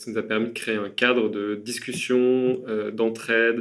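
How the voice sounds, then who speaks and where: His intonation stays monotone and flat. The man's voice sits at a medium pitch. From France, Burgundy. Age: 30s. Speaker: architect. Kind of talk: interview. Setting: meeting room.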